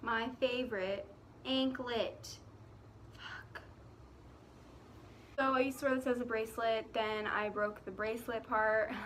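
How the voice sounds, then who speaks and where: In a room with audible echo, a woman speaks at a fairly slow pace. Her intonation is monotone and flat, broken by long, frequent pauses. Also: fairly high pitch for a woman. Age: young. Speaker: vlogger. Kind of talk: casual vlog monologue. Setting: outdoors.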